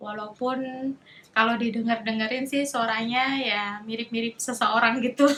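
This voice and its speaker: A woman's fairly high, monotone, flat voice amid noticeable background noise. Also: moderate pace. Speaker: vlogger, cancer patient. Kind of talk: casual vlog monologue. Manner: casual, chatty.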